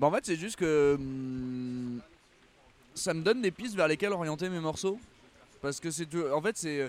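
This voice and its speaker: In a very clean recording with a silent background, a man with a fairly high pitch leaves long, frequent pauses. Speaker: musician. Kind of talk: casual chat. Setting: outdoors.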